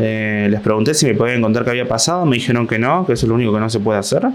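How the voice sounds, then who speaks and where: A man talks in a Rioplatense accent. Audible room echo and noticeable background noise surround him. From Buenos Aires, Argentina. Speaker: stand-up comedian. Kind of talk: comedic solo monologue.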